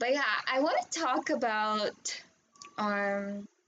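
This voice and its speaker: A fairly high-pitched woman's voice with a Filipino accent. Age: 20s. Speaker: vlogger. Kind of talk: personal testimony. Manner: hesitant, many fillers.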